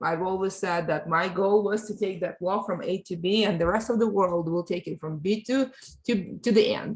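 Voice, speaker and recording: A woman speaks at a moderate pace. Her voice is somewhat breathy, with ordinary pitch variation. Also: medium pitch for a woman. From Ukraine, moved to US at thirteen. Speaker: board diversity advocate. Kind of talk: interview. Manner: halting, repeats words.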